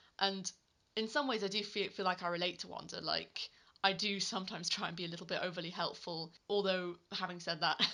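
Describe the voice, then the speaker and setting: At a very fast pace, a woman with a bright, sharp tone speaks at a medium pitch with fairly even intonation. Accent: British. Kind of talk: casual video review talk to camera. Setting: home recording without a proper microphone.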